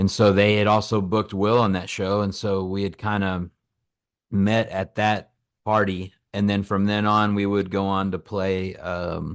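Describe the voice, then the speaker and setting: A man with an American accent speaks at a fairly slow pace, his pitch fairly low. His intonation is monotone and flat against a quiet background. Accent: some country. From Texas (Lubbock, West Texas). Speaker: singer-songwriter. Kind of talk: interview. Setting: at home, remote call.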